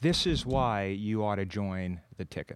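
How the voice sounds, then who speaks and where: A man speaks in a plain, everyday voice with an American accent, his pitch fairly low and its variation ordinary. He talks at a fairly slow pace on a very clean recording with a silent background. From Iowa, Linn County. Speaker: county supervisor. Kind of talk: casual chat. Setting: stage with audience.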